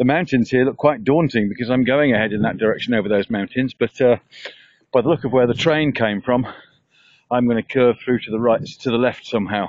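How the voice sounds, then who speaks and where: Moving at a fairly quick pace, a man speaks with a medium pitch and ordinary pitch variation. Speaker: travel vlogger. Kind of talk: travel vlog narration. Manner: casual, halting with fillers; soft-spoken.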